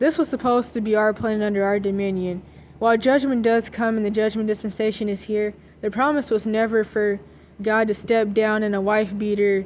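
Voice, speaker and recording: Fairly brisk speech from a woman, fairly high in pitch and fairly even in intonation. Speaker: commentary channel vlogger. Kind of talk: opinion monologue. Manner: fast; casual with many fillers.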